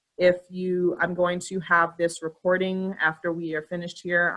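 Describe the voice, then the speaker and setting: Her tone bright and sharp, a woman speaks in a fairly low pitch. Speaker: school staff running parent tech help session. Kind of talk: online training session Q&A. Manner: fast.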